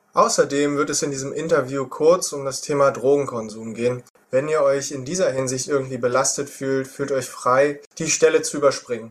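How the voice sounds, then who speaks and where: A man talks at a moderate pace with fairly even intonation and a fairly high pitch. It is a plain, everyday voice. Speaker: student podcast host. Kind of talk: scripted narration.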